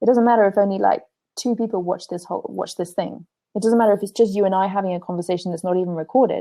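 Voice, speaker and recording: Speaking at a very fast pace, a woman with an English accent keeps a fairly even intonation and a dark, mellow tone. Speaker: spiritual teacher and blogger. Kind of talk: interview. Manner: halting, many repetitions.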